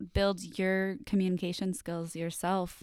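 In a very clean recording with a silent background, a woman with an American accent speaks at medium pitch in an unremarkable speaking voice. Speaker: podcast host. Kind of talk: casual chat.

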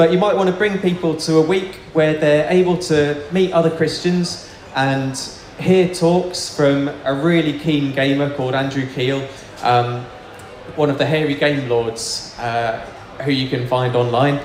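Noticeable background noise sits behind a man talking at a fairly slow pace. His pitch is fairly high and varies in an ordinary way. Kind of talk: Q&A and announcements.

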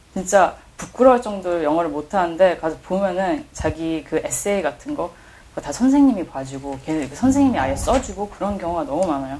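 A woman talks at a fairly quick pace in a fairly low voice. Her pitch swings very widely. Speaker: art critic. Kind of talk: casual chat.

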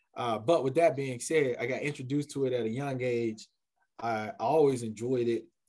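Fairly quick and fairly even in intonation, a man speaks in an American accent at medium pitch. It is an ordinary speaking voice. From US South, Columbia, South Carolina. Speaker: college athletics administrator. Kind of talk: casual interview.

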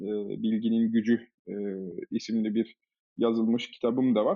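A man is talking. His pace is fairly quick. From Germany. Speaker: management consultant and AI initiative founder. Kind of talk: podcast interview. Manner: many filler hesitations.

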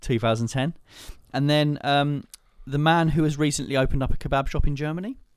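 A man speaks at a fairly quick pace in a normal speaking voice. His pitch is fairly high, with fairly even intonation. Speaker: podcast host. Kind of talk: casual chat.

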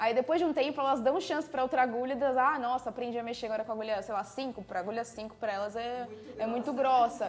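Over noticeable background noise, a woman talks at a very fast pace with a high pitch, ordinary pitch variation and hardly any pauses. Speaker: craft youtuber and podcast host. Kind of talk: casual chat.

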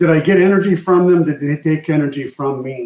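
With an American accent, a man speaks at a moderate pace with a fairly high pitch and fairly even intonation, an unremarkable speaking voice. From Arizona. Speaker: tech executive. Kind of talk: interview.

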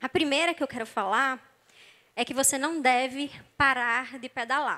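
Raised and projected, a woman's high voice comes through in a bright, sharp tone with a Brazilian accent and ordinary pitch variation. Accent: non-Rio Brazilian, somewhat drawled. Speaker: psychologist and preacher. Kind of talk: sermon.

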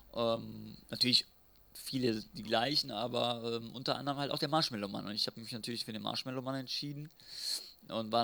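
A man talks at a fairly quick pace in a bright, sharp tone, captured in a very clean recording with a silent background. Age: 30s. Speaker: podcast co-host, retro fan. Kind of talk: casual chat.

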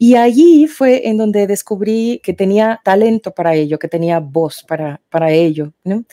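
A woman speaks fairly slowly in a dark, mellow tone with very wide pitch swings. The sound is dry and close, with no echo. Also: medium pitch for a woman, hardly any pauses. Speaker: soprano singer. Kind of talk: interview.

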